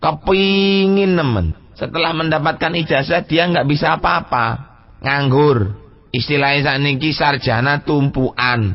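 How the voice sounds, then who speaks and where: A man with a fairly high pitch talks at a fairly slow pace with lively intonation. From Pasuruan, East Java, Indonesia. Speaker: Islamic cleric and pesantren leader giving a public lecture. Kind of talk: Islamic sermon on Sufi text (Al-Hikam).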